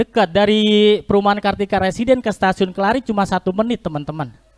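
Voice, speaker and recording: Against a quiet background, a man with a high voice talks at a fairly quick pace in an animated, playful tone. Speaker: stand-up comedian and online taxi driver. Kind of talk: stand-up comedy with jokes and punchlines for a live virtual audience. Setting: virtual competition performance. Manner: animated, rapid-fire joke delivery with slangy Jakarta colloquial speech; playful, self-deprecating, with audience calls such as asking for applause. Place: stage. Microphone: handheld.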